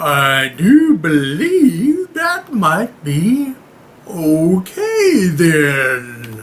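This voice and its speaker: A man performs a put-on character voice at a high pitch. He speaks very slowly. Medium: read story.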